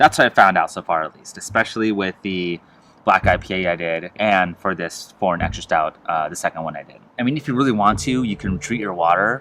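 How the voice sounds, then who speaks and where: A man mumbling at a fairly quick pace, very deep and low in pitch, bright and sharp in tone, with big swings in loudness. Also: ordinary pitch variation. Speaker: homebrewer reviewing own beer. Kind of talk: casual tasting review. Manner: fast.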